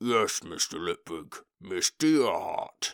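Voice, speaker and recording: Using a put-on character voice, a man speaks raspy and very slow at a medium pitch. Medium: read story. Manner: calm, measured, literal.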